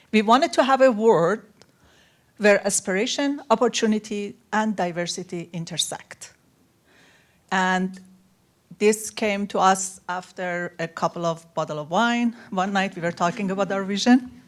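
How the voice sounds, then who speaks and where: A woman with a non-native accent speaks at a moderate pace and medium pitch, using ordinary pitch variation. The recording is very clean, with a silent background. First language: not English. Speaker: panel speaker, women-in-STEM mentorship organizer. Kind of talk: panel talk.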